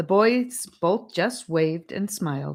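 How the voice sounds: A woman with lively intonation, a fairly low pitch, and a slow pace.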